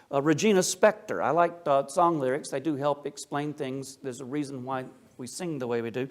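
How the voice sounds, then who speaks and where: Using ordinary pitch variation, a man talks at a fairly quick pace with a fairly high pitch. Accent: slight Appalachian. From US South, Appalachia. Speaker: Orthodox priest, speaker. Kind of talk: lecture. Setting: church talk with audience. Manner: casual, conversational asides.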